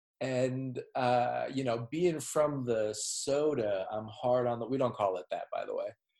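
A man speaks with an American accent at a fairly slow pace. He hardly pauses at all. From Minnesota (Minneapolis). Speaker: podcast host. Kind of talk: casual chat.

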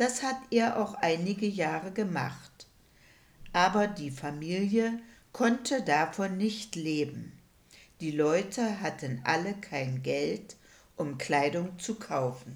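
A woman's fairly low-pitched voice at a very slow pace, with very wide pitch swings. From Saxony-Anhalt, rural Elbe area. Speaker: retired primary school teacher, eyewitness. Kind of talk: oral history interview.

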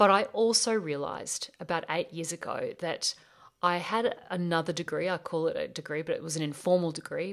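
A woman is speaking. She has an Australian accent. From Australia (rural bush). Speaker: life coach and podcast host. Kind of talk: solo podcast monologue.

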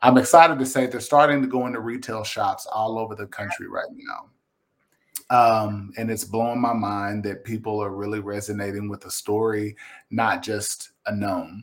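A man with a Kentucky accent speaks at a moderate pace in a medium pitch. His intonation is fairly even, though his loudness swings widely. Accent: Kentucky Southern US. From Kentucky, Lexington. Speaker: visual artist. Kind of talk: casual interview. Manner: halting.

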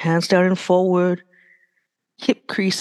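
Heard against a quiet background, a woman speaks at a medium pitch. The sound is dry and close, with no echo. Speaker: yoga teacher. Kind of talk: live yoga class instruction, cueing sun salutations breath by breath. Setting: yoga studio with live class. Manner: rhythmic, clipped breath-paced commands; casual, filler-heavy with frequent 'right?' and 'uh'.

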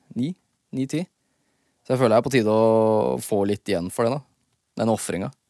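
A man talks fairly quickly at a medium pitch, with a dark, mellow tone and ordinary pitch variation. Long, frequent pauses break up his speech, and the sound is dry and close with no echo. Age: 20s. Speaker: rapper and podcast host. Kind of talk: casual solo podcast monologue. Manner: relaxed, rambling.

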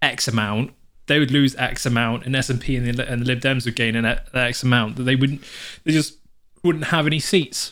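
A man with a British accent speaks at a medium pitch and a moderate pace, with fairly even intonation. The recording is very clean, with a silent background. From UK. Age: 20s. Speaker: podcast co-host. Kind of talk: reading aloud; casual chat.

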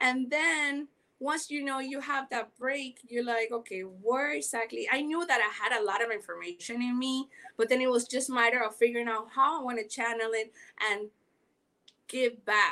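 A high-pitched woman in a Panamanian accent, at a moderate pace. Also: ordinary pitch variation. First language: Spanish. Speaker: podcast host. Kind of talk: interview. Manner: animated; halting.

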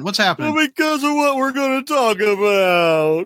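In a whiny, put-on character voice, a man speaks at an extremely high pitch and a fairly slow pace. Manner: whiny, cowardly.

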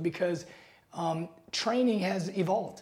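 This voice carries an American accent. It keeps to a moderate pace. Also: man. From Seattle, US Pacific Northwest. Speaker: NBA strength and conditioning coach. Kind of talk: casual interview.

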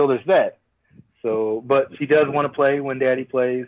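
Fairly even intonation and a medium pitch mark this man's ordinary speaking voice. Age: 30s. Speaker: soldier. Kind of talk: casual chat. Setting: video call.

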